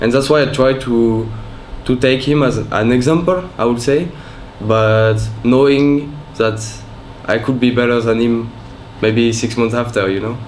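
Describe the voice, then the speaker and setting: With a French accent, a man speaks at medium pitch and a fairly slow pace with fairly even intonation and long, frequent pauses, over noticeable background noise and audible room echo. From France. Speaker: professional esports player. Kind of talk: interview.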